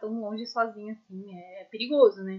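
With an unremarkable speaking voice, a woman with a fairly high pitch talks at a fairly slow pace and ordinary pitch variation. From São Paulo, Brazil. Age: 20s. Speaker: podcast co-host, recent graduate. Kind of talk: casual chat.

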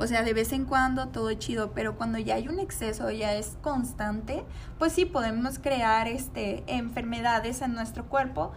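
Audible room echo surrounds speech delivered at a fairly slow pace with ordinary pitch variation. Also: woman. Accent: Mexican. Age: 20s. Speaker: podcast co-host, nutrition student. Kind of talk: casual chat.

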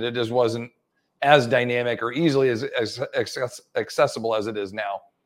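A man in an ordinary speaking voice, fairly quick and with ordinary pitch variation, on a very clean recording with a silent background. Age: 40s. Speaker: personal trainer and fitness educator. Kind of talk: interview.

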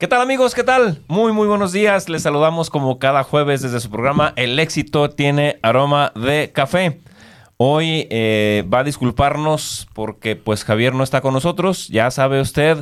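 An ordinary speaking voice from a man, fairly high in pitch and lively in intonation, moves at a fairly slow pace on a very clean recording with a silent background. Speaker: radio host. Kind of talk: casual interview.

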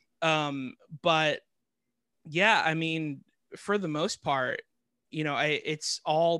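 A man with a fairly high pitch speaks at a very slow pace, pausing long and often, with fairly even intonation. The sound is dry and close with no echo, and the tone is bright and sharp. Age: 30s. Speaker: actor, singer and stand-up comedian. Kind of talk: casual interview chat. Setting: remote call.

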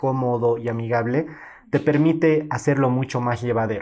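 At a moderate pace, a man speaks in a normal speaking voice with a medium pitch and fairly even intonation. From Bolivia, Cochabamba. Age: 20s. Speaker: photographer. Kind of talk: interview.

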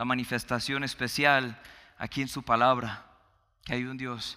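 A man's medium-pitched, bright, sharp voice in a flat monotone at a very slow pace, on a very clean recording with a silent background. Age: 30s. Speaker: pastor. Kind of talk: sermon.

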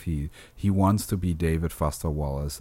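The voice has a dark, mellow tone and a non-native accent at a moderate pace. The recording is very clean with a silent background. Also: man. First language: not English. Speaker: podcast co-host discussing film editing. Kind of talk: casual chat; reading aloud. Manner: halting.

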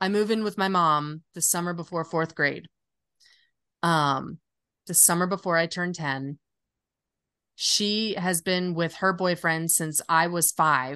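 A woman with an American accent speaks fairly slowly at a fairly low pitch, her tone bright and sharp and her intonation fairly even, over a quiet background. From US Midwest and North Carolina. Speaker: podcast co-host. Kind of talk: casual chat.

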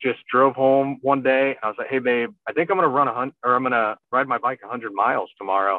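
A man with a normal speaking voice talks at a medium pitch with ordinary pitch variation. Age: 30s. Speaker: army officer and ultrarunner. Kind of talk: casual interview.

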